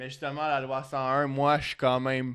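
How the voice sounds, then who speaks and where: In a very clean recording with a silent background, a man with a Quebec accent speaks at a medium pitch and a moderate pace. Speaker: language student. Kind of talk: casual chat.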